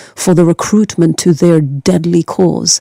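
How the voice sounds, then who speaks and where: A woman's fairly low, dark, mellow voice with ordinary pitch variation and a fairly slow pace, in a dry, close sound with no echo. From Norway. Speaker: documentary filmmaker. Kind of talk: interview. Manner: emphatic.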